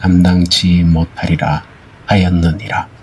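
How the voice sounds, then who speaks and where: A man's voice amid noticeable background noise. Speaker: Bible reader. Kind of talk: Bible reading for sleep. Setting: rain and thunder sound background.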